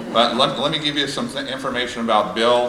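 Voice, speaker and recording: A man with an American accent talks at a fairly quick pace in a medium pitch, with noticeable background noise and audible room echo. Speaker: hall of fame speaker, former athlete. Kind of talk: tribute speech. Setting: stage with audience. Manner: fast.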